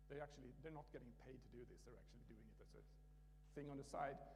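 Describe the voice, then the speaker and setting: A man speaks with a Swedish accent. Audible room echo surrounds his voice. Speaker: conference speaker, open source maintainer. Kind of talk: conference talk. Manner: halting, many restarts.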